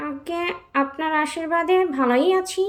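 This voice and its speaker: A woman performs a put-on character voice. Music plays in the background. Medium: read story. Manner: deferential, deadpan.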